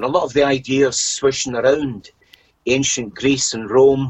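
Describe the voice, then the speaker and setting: In a Scottish accent, a man talks at medium pitch and a fairly slow pace. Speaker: podcast guest. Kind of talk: casual interview chat.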